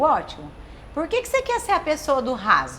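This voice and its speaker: A woman's pitch swings very widely while noticeable background noise runs behind her. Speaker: talk show host. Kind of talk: casual talk show chat. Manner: fast; animated.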